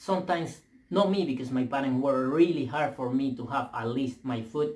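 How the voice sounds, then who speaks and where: A man's fairly high voice with a non-native accent, at a moderate pace. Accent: foreign. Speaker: vlogger. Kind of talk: opinion rant. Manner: halting, repeats words; animated.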